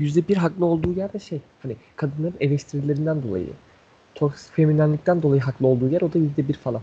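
Speaking at a fairly quick pace, a man has a fairly high pitch with ordinary pitch variation. His tone is dark, mellow and somewhat breathy. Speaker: podcast co-host. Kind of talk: casual chat.

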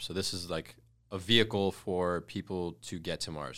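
In a very clean recording with a silent background, a man with an American accent speaks at a very deep, low pitch, his bright, sharp tone edged with vocal fry. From US Midwest, Detroit. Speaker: e-commerce entrepreneur. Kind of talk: casual chat.

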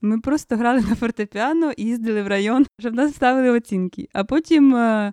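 A woman's fairly quick speech with ordinary pitch variation, dry and close with no echo, over a quiet background. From Ukraine, southern Chernihiv region (village). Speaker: singer, composer and folk singing teacher. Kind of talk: interview.

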